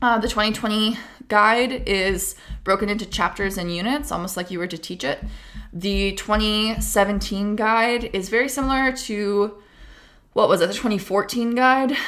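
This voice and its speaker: A woman speaks in a normal speaking voice. Her pitch is fairly high, with ordinary pitch variation. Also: moderate pace. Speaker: debate coach / educational youtuber. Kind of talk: tutorial. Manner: casual, chatty.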